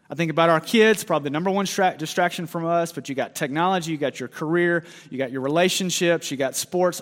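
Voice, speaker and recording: With a plain, everyday voice, this man speaks fairly high in pitch, and that pitch varies in an ordinary way. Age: 30s. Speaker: pastor. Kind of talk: sermon.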